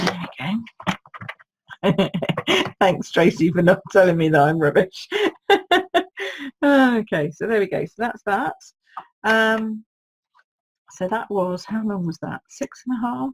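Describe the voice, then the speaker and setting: Woman's medium-pitched, somewhat breathy voice with lively intonation, fairly slow with long, frequent pauses, in a dry, close sound with no echo. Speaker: card-making demonstrator. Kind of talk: live craft tutorial. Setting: Facebook live stream. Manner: chatty, informal.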